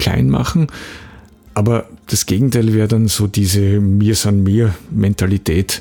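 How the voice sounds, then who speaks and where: The man talks with lively intonation. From Austria, Graz. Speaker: podcast host, copywriter and trainer. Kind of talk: solo podcast monologue. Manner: untrained, occasional hesitations.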